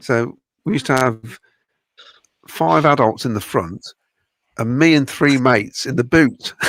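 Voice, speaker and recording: A man with a West Midlands accent talks at medium pitch, leaving long, frequent pauses. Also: lively intonation, fairly slow pace. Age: 60s. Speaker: football podcast panelist. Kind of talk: casual chat. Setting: live streamed podcast watchalong.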